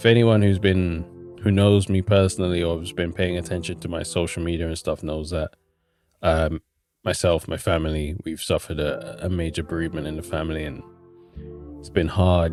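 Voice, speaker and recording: Over background music, a man with a very deep, low pitch speaks at a fairly quick pace, his intonation fairly even and his loudness swinging widely. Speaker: YouTuber and music artist. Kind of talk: casual vlog talk to camera. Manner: halting.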